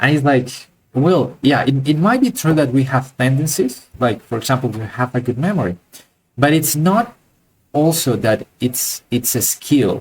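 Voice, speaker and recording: The voice is somewhat breathy, with a non-native accent. It moves at a moderate pace with ordinary pitch variation. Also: man. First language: not English. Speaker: art teacher. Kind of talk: live online class. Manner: halting, many fillers and repeats.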